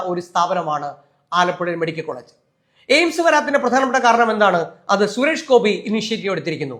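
A man speaks with a high pitch. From Kerala, Alappuzha. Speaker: journalist and commentator. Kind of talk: public appeal monologue. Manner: impassioned.

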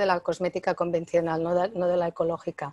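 The sound is dry with no echo as a woman speaks at a moderate pace over a quiet background. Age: 60s. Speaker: author and natural health expert; interviewee. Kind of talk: interview. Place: home room. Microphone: earbuds.

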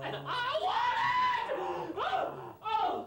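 Shouting in a put-on character voice, a man hits an extremely high pitch.

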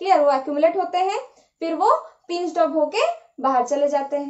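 Against a quiet background, a woman speaks at a fairly slow pace with an extremely high pitch and ordinary pitch variation. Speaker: teacher. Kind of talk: lecture. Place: home room.

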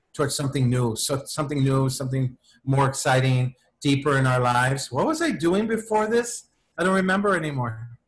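This man's voice is fairly high-pitched and somewhat breathy. He talks at a fairly quick pace. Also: lively intonation. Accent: American. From Los Angeles. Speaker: playwright. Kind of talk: interview answer. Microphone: video call.

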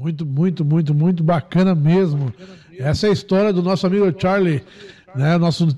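A man's high voice, dark and mellow in tone, with ordinary pitch variation, very even loudness and a fairly slow pace. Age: 40s. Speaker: radio host. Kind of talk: interview.

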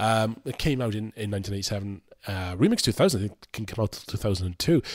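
This man speaks with a British accent at a fairly low pitch. The recording is very clean, with a silent background. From UK. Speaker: music YouTuber reviewing album discographies. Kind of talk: scripted review monologue. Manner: casual and irreverent, swears freely.

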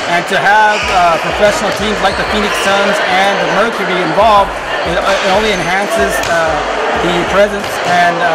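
Loud background noise surrounds a man's speaking voice. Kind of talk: interview answer. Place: hall. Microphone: handheld.

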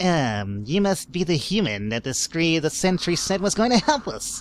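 A man's put-on character voice, high-pitched with very wide pitch swings, at a fairly slow pace. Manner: shifty, oily.

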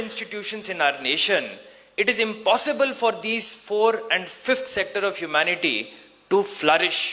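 A man speaks in a raised, projected voice at a high pitch, with ordinary pitch variation. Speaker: district official and IAS officer giving a motivational talk to engineering students. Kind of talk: pep talk: a motivational address to students, mixing Kannada, English and Hindi couplets. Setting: stage with audience at a college event.

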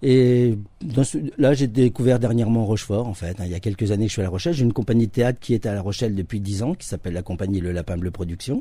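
A man talks at a fairly quick pace with lively intonation, in a dark, mellow, somewhat breathy tone at medium pitch. The sound is dry with no echo over a quiet background. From France, Charente-Maritime region (from age 11; born in Nancy); France. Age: 50s. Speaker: actor and stage director; actor. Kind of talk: radio interview. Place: studio.

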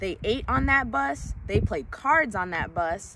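A woman with an American accent speaks at a very slow pace in a gentle, warm tone, with a dry sound lacking echo and noticeable background noise. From US Midwest, Illinois. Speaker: elementary school teacher reading a children's book aloud. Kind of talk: bedtime-style story reading aloud to children. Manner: gentle, warm, unhurried storyteller pacing; encouraging, upbeat and teacherly when addressing kids. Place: waterside. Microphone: phone near.

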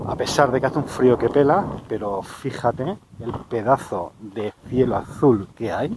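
A man at a fairly slow pace with ordinary pitch variation, a dry sound with no echo, and noticeable background noise. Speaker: hiking vlogger. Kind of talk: casual vlog chat. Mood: enthusiastic, admiring. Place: open country. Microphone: phone near.

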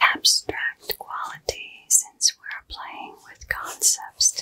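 Whispering very slowly, the woman is soft-spoken. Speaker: makeup creator. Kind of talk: soft-spoken makeup roleplay chat. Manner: soft ASMR whisper. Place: home room. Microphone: phone near.

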